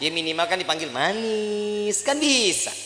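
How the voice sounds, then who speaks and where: A man with a Jakarta accent uses a raised, projected voice at a very slow pace over noticeable background noise. His high pitch swings very widely. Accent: Betawi. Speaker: Islamic preacher. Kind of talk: religious sermon. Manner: casual, humorous.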